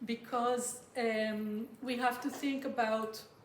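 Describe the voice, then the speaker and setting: A woman speaks at a fairly high pitch with monotone, flat intonation. Noticeable background noise and audible room echo fill the recording. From Israel. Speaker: political anthropologist and activist. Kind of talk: conference talk. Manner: halting, many fillers.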